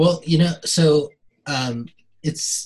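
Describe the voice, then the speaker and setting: This is a plain, everyday voice from a man. It sits fairly high and shows ordinary pitch variation. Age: 30s. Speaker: performer and filmmaker. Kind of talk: casual chat.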